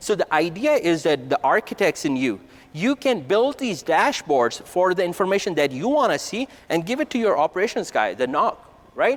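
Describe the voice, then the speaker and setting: Pitched high, a man's voice swings very widely up and down. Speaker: conference presenter. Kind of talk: technical conference talk. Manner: fast; casual, conversational. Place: hall.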